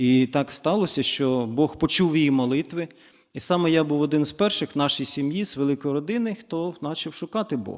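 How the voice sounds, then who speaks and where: A man's plain, everyday voice, fairly high in pitch, at a moderate pace with ordinary pitch variation, in a very clean recording with a silent background. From eastern Ukraine, Zaporizhzhia. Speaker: church guest speaker. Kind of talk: testimony.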